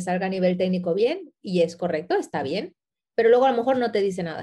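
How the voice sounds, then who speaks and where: Her voice has a dark, mellow tone. The woman speaks at a moderate pace with lively intonation. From Ecuador, moved to Spain at 12. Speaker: photographer and designer. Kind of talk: interview.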